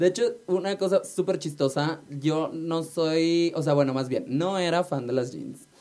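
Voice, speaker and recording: An ordinary speaking voice from a man, fairly high in pitch, at a moderate pace with ordinary pitch variation. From Mexico, Hermosillo, Sonora. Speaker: drag queen. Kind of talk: casual chat. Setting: studio.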